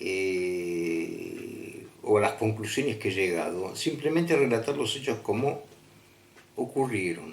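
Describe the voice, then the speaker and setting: Very slowly, a man speaks with very wide pitch swings. Audible room echo and noticeable background noise are present. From Argentina, Buenos Aires. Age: 70s. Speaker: storyteller of personal paranormal experiences. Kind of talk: personal testimony. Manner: halting, many fillers.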